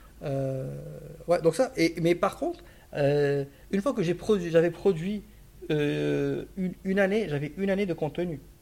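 Against noticeable background noise, a man with a high pitch and ordinary pitch variation talks at a fairly slow pace, pausing long and often. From Morocco. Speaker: strategy consultant. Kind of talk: casual interview. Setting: office. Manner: halting, many repetitions.

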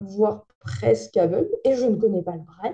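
A woman's somewhat breathy, medium-pitched voice with a dark, mellow tone at a fairly slow pace. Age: 20s. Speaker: TV presenter. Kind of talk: interview.

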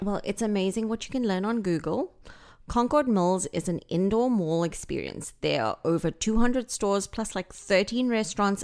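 Medium in pitch, a woman with a South African accent speaks at a moderate pace with ordinary pitch variation. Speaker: real estate agent. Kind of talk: casual chat. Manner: witty, warm.

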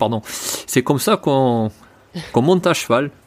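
A man with a medium pitch speaks in an ordinary speaking voice with lively intonation. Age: 40s. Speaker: horse trainer. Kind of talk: interview.

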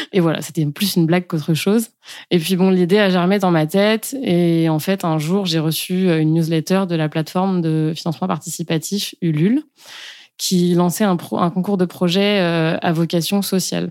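On a very clean recording with a silent background, a woman with an ordinary speaking voice and fairly low pitch talks at a moderate pace with fairly even intonation and very even loudness. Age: 30s. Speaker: breastfeeding pumping coach. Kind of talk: interview.

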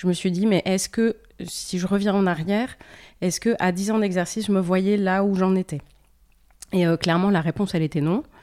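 A woman's medium-pitched voice at a fairly quick pace, broken by long, frequent pauses, with very even loudness, fairly even intonation, and a very clean recording on a silent background. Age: 40s. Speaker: former lawyer. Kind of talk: interview. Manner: halting.

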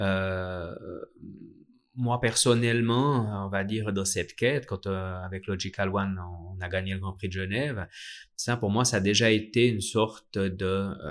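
Pausing long and often, a man speaks at a fairly slow pace in a fairly low voice with fairly even intonation, captured in a very clean recording with a silent background. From Switzerland, Vallée de Joux (Vaud). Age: 40s. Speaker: watchmaker and brand founder. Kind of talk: interview. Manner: halting, many fillers.

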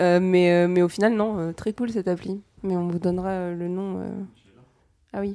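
A woman's dark, mellow voice in a monotone, flat intonation, very slow, with long, frequent pauses. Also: medium pitch for a woman. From Paris. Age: 20s. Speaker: podcast guest. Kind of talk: casual chat.

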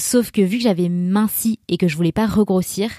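In a dry, close sound with no echo and a very clean, silent background, a woman with a dark, mellow tone speaks with fairly even intonation. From France, Grenoble. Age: 30s. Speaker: podcast host. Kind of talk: personal testimony.

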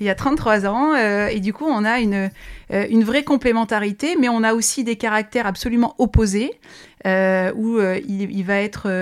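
On a very clean recording with a silent background, a woman uses a normal speaking voice at a fairly high pitch and fairly slow pace. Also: ordinary pitch variation. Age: 30s. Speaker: business executive. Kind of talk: interview.

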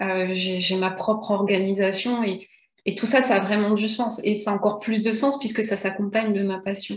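A woman's medium-pitched, somewhat breathy voice stays monotone and flat. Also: moderate pace. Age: 40s. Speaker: videographer and entrepreneur. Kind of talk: interview. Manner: hesitant, many fillers.

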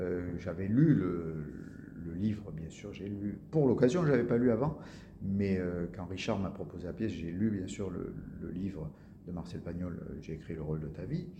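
A man with a very deep, low pitch and a dark, mellow tone speaks at a fairly slow pace, somewhat breathy, with big swings in loudness and audible room echo. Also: ordinary pitch variation. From Marseille area, southern France. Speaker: actor. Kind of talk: interview.

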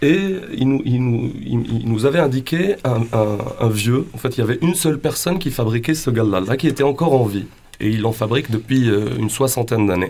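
Speaking at a moderate pace, a man uses a medium pitch and lively intonation. His loudness stays very even, and there is noticeable background noise. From western Algeria. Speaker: band singer. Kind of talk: radio interview. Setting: radio studio. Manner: halting.

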